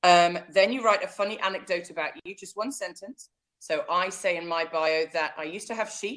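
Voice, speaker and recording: A woman speaks in an English Midlands accent at a moderate pace and medium pitch. Her pitch varies in an ordinary way while her loudness swings widely. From central England. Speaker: online business coach. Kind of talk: interview. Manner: loud when enthusiastic.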